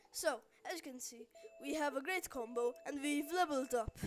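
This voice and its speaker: A woman's high-pitched voice at a moderate pace, lively intonation, noticeable background noise. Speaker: gaming video narrator. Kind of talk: let's play commentary. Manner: mumbling.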